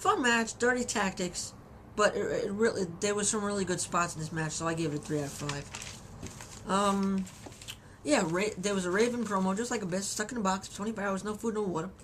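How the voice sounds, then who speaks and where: Noticeable background noise under a woman's fairly quick speech, medium in pitch with ordinary variation. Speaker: wrestling reviewer. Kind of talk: video review. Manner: halting, many repetitions.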